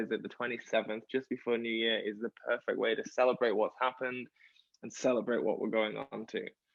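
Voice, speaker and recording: A man talks fairly quickly with an English accent. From England. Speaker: musical theatre performer. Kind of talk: interview. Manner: animated.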